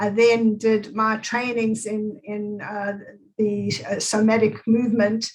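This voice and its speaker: A woman with a South African accent speaks very slowly in a fairly high, somewhat breathy voice. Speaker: movement therapist. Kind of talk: interview.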